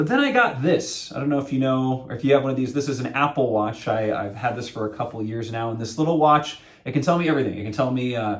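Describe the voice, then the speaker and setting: A man with an American accent talks at a very fast pace. There is audible room echo along with noticeable background noise. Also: medium pitch for a man, ordinary pitch variation, hardly any pauses. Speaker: associate pastor. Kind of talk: sermon. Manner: loud.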